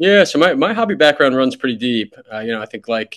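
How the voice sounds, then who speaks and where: A very fast-talking man with a New York accent. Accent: New York American. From US, New York City. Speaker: startup CEO. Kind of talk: podcast interview.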